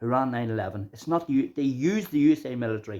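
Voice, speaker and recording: Against a quiet background, a man talks at a very fast pace. His tone is dark and mellow. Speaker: self-described physicist, channel host. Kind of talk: monologue, conspiracy explainer. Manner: halting, repetitive.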